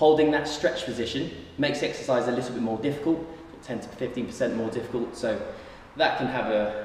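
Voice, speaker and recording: At a fairly quick pace, a man talks in a room with audible echo and light background noise. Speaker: personal trainer. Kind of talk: tutorial. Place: gym. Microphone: camera far.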